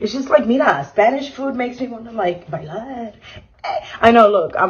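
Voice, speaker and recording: Amid noticeable background noise, a fairly high-pitched woman with an American accent speaks with lively intonation and big swings in loudness. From New Jersey, Hamilton area. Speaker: vlogger. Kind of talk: cooking tutorial vlog. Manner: fast, casual.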